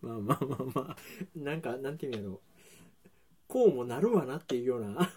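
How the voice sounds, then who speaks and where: At a very fast pace, a man with a medium pitch speaks with lively intonation, big swings in loudness and a somewhat breathy voice. He leaves long, frequent pauses. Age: 40s. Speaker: podcast host and baker. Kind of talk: casual chat. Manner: laughs often.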